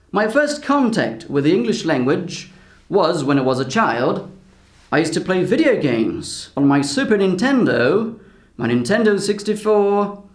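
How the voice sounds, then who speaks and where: The speech moves at a fairly slow pace with very wide pitch swings, and audible room echo surrounds it. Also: man. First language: Portuguese. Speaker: language teacher. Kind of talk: vlog-style talk to camera.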